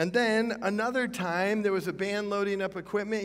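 The voice belongs to a man. He talks at a moderate speed. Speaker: pastor. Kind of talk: sermon. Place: church.

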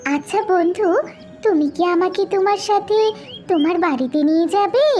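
A cartoonish character voice, squeaky and extremely high-pitched, comes at a fairly slow pace over clear background noise. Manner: warm, friendly.

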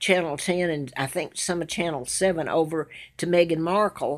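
The background is quiet as a woman talks at a moderate speed. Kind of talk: casual selfie monologue, rambling personal grievances. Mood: aggrieved, insistent. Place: home room. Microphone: phone near.

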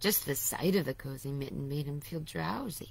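In a put-on character voice, a woman speaks raspy and very deep at a moderate pace with lively intonation, over clear background noise. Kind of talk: bedtime story. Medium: read story. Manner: warm, gentle, unhurried.

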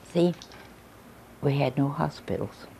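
With light noise behind her, a woman in a Midwestern American accent speaks in a very deep, low pitch and a dark, mellow tone, with ordinary pitch variation. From Linton, Indiana. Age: 80s+. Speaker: local elder recalling town history. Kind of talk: interview answer. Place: home room.

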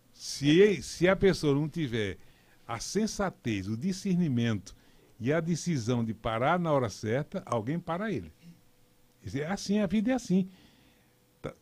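The man's pitch moves through very wide swings. He talks at a fairly slow pace. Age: 70s. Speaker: politician, former mayor. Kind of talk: radio interview debate. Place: studio. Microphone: studio mic.

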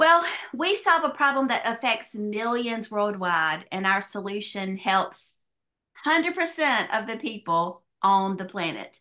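In a Southern US accent, a woman speaks at a fairly high pitch with a bright, sharp tone. Her pace is fairly slow, her pitch swings very widely, and the background is quiet. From US South. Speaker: business opportunity presenter; presenter. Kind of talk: sales pitch. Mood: upbeat sales pitch. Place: home room. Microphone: webcam.

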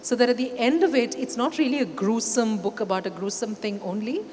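There is light background noise as a woman speaks. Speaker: panel moderator. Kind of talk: event introduction. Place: stage. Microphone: handheld.

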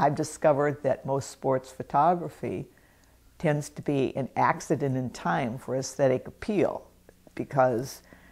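A woman speaks at a fairly slow pace with a very deep, low pitch. Her pitch variation is ordinary. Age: 70s. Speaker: painter. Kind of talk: narration of own art show video.

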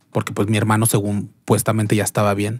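A woman with a very deep, low voice speaks against a quiet background in a dry sound with no echo. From León, Guanajuato, Mexico; Guanajuato, Mexico. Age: 30s. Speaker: entertainer; podcast guest. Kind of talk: interview. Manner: halting. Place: studio. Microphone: studio mic.

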